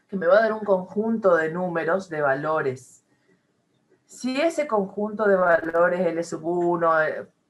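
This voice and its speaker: A woman's ordinary speaking voice, fairly slow, with lively intonation. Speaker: math professor. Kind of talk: lecture.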